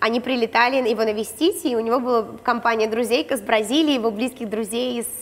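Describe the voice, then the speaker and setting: A woman with a fairly high voice speaks at a fairly quick pace with fairly even intonation. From Khabarovsk, Russia; Russia. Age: 20s. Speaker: reality show participant, blogger; blogger. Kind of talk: casual interview chat. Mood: relaxed, candid storytelling. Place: gym. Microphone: lapel.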